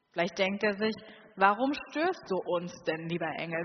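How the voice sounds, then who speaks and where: A woman with a calm, gentle tone talks at a moderate pace and medium pitch, with ordinary pitch variation and noticeable background noise. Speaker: preacher. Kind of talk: sermon in a church, warm and personal, addressing the congregation. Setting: church. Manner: calm, earnest, conversational, with gentle inviting appeals.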